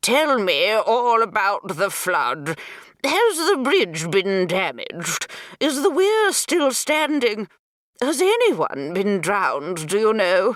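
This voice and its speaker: A put-on character voice, nasal and fairly high, at a very slow pace. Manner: eager, bombarding with questions.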